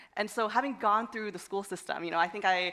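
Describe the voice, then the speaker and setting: Over noticeable background noise, a woman with an American accent speaks at a very fast pace, medium in pitch, with fairly even intonation. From United States. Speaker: education entrepreneur, panelist. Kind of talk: panel discussion. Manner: halting, many fillers and repetitions.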